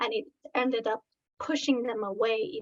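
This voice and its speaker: A woman speaks with a slight Iranian accent. The sound is dry and close, with no echo. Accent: slight Iranian (Persian) accent in English. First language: Farsi. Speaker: researcher. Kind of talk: presentation. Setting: online video talk.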